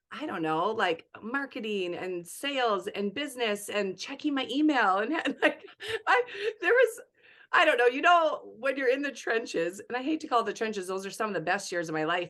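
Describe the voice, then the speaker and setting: A woman speaks loudly and at a fairly quick pace in a fairly high, bright, sharp voice. Her tone is animated, with very wide pitch swings. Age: 40s. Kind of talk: casual chat.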